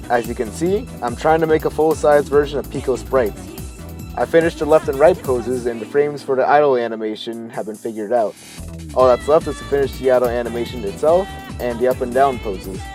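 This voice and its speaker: Over music in the background, a man talks at a very fast pace and a medium pitch with lively intonation. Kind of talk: casual video essay narration. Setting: home recording, low-quality mic.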